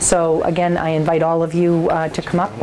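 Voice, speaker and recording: A woman at a fairly low pitch and moderate pace, with noticeable background noise. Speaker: school official reporting. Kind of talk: meeting report. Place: meeting room. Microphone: lapel.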